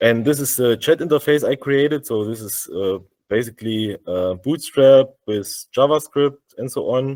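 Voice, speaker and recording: A man with a German accent at a medium pitch, big swings in loudness, in a dry, close sound with no echo. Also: ordinary pitch variation, moderate pace. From Germany. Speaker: software developer. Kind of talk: tech demo. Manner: halting, many fillers.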